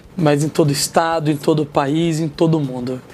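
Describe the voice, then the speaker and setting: In a Minas Gerais accent, a man speaks at a moderate pace with a fairly high pitch and monotone, flat intonation. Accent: mineiro. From Minas Gerais interior, Brazil. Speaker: martial arts teacher and former MMA fighter. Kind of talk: interview chat.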